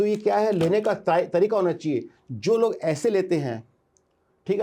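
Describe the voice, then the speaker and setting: A man talks at a moderate pace with a dark, mellow tone. His pitch varies in an ordinary way. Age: 60s. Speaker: entrepreneur. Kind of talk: interview. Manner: animated.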